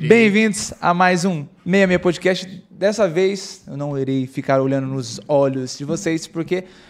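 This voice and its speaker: Here a man talks at a high pitch. His pitch varies in an ordinary way. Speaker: podcast host. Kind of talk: casual podcast chat. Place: studio. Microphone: studio mic.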